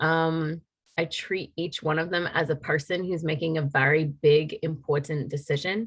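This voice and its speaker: A woman speaks at a moderate pace with a very deep, low pitch. Her voice is somewhat breathy and her intonation fairly even. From Maine. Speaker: army recruiter. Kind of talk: interview.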